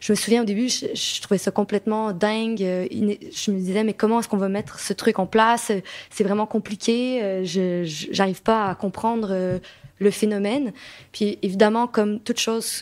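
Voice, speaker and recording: A woman speaks with a Quebec accent. Her intonation stays fairly even. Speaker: association co-director. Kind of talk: debate discussion. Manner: hesitant, many fillers and repetitions.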